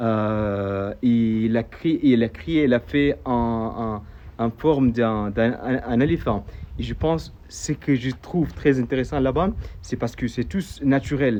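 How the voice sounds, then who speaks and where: A man with an Arabic accent at a medium pitch, very slow in pace, with ordinary pitch variation. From Saudi Arabia (AlUla). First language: Arabic (speaking French). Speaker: local tour guide vlogger. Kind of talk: travel video explanation. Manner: halting, many hesitations and repeated words.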